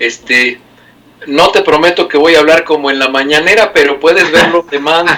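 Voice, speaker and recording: Over noticeable background noise, a man with fairly high pitch speaks at a moderate pace. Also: ordinary pitch variation. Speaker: medical doctor. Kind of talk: medical explainer chat.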